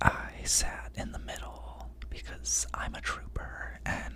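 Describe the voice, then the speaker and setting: A man whispers at a very slow pace. Noticeable background noise can be heard. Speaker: ASMR storyteller. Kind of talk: ASMR story time. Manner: whispered.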